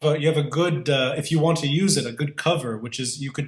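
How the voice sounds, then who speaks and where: This man has an American accent and a fairly high, somewhat breathy voice. He speaks at a fairly quick pace. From US (Virginia, DC suburbs), youth in Beirut. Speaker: political commentator. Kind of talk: casual interview chat.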